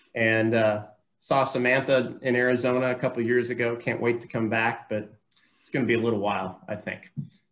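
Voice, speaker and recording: Speaking fairly quickly, a man uses a medium-pitched voice. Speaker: university alumni relations director; alumni event host. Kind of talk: casual event hosting. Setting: video call. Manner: upbeat, informal. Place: home room. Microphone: webcam.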